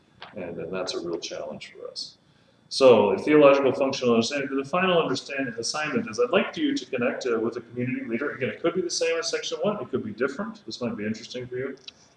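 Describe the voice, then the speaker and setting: Very rapid speech in an American accent from a man, noticeable noise in the background. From Texas, Austin. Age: 30s. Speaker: pastor teaching a leadership class. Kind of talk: lecture. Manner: fast.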